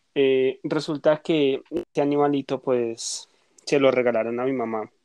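The man's fairly high voice comes across with a dry, close sound and no echo. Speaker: podcast co-host. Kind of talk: casual chat.

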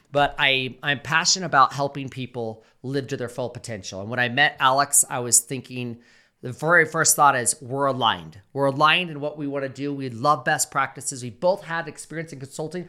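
Fairly high-pitched man's voice, bright and sharp in tone, at a moderate pace with hardly any pauses, in a very clean recording with a silent background. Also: ordinary pitch variation. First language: English (speaking Spanish). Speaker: podcast host. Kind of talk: casual chat. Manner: halting in Spanish.

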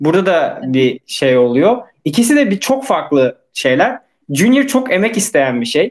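A man talks in a high pitch with very wide pitch swings, a moderate pace, and very even loudness. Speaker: podcast host, developer. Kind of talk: casual interview chat.

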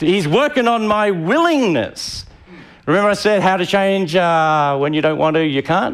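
At a moderate speed, a man speaks with pitch that leaps up and down very widely. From Tasmania, Australia. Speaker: pastor. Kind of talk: sermon. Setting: church with live audience.

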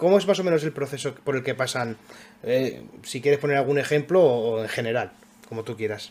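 A man speaks in a plain, everyday voice at a medium pitch, talking at a fairly quick pace with ordinary pitch variation. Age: 20s. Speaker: podcast host. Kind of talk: casual chat.

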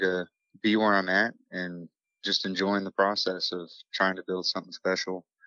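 With an American accent, a man talks at a moderate pace and a fairly low pitch. His intonation stays monotone and flat. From Morgantown, West Virginia. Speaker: singer-songwriter. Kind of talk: interview.

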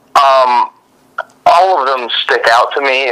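Ordinary pitch variation marks this man's speech, delivered with an American accent. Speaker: medical student and former wrestler. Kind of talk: interview.

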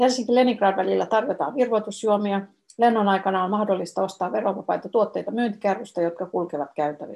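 Ordinary pitch variation and vocal fry in a woman's voice of medium pitch. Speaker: former travel agency tour organizer. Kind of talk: flight announcement read aloud, Finnish then Swedish. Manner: formal, even and polite, cabin-crew style; slow, clear, measured reading.

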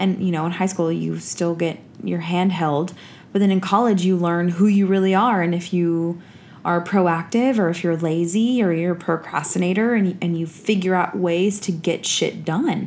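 Here a woman with a normal speaking voice, fairly low pitch and fairly even intonation speaks at a moderate pace. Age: 30s. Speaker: podcast co-host, teacher and coach. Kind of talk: casual chat. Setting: home recording.

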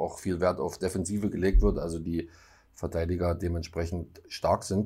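A man speaks with a very deep, low voice and fairly even intonation. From eastern Saxony, German-Czech border area. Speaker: football podcast host. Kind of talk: casual chat.

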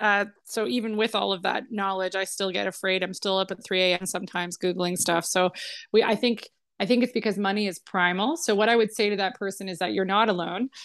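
Over a quiet background, a woman speaks with a Canadian accent. Her pitch is medium and her intonation fairly even. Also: fairly quick pace. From Canada, Toronto suburbs. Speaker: financial planner. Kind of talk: casual interview. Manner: calm.

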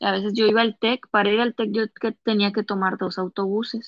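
A woman speaks in a Comarca Lagunera accent at a medium pitch. Her pace is fairly slow. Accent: Laguna sing-song Mexican Spanish. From Lerdo, Durango (Comarca Lagunera), Mexico. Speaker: podcast guest. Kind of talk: casual chat.

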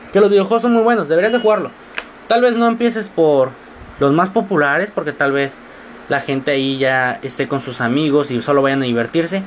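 A man's pitch swings very widely as he speaks at a fairly quick pace over noticeable background noise. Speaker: student podcaster. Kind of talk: casual monologue. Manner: animated.

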